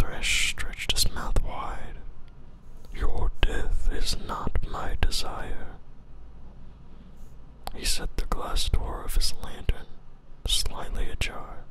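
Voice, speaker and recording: A man whispering in a calm tone at a very slow pace, with long, frequent pauses and noticeable background noise. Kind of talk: ASMR story reading. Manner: whispered; calm, soft-spoken.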